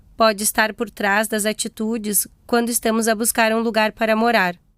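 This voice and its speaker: In a normal speaking voice, a woman talks at a fairly slow pace and a fairly high pitch, the sound dry and close with no echo on a very clean recording with a silent background. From Brazil. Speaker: podcast host. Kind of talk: scripted narration.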